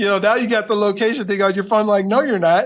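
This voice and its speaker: This speaker is male. He delivers his words very fast. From Colorado, US. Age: 60s. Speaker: professor. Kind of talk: interview.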